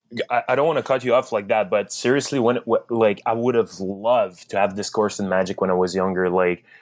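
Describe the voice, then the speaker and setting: A man with a strong French Canadian accent at medium pitch, talking at a fairly quick pace with hardly any pauses, in a very clean recording with a silent background. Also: ordinary pitch variation. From Quebec, French Canada. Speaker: magician and content creator. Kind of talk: podcast interview. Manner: halting, many fillers and restarts.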